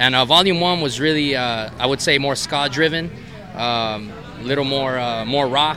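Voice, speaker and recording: A man's medium-pitched voice with ordinary pitch variation and noticeable background noise. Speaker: band keyboardist and singer. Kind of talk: interview. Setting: at a music festival.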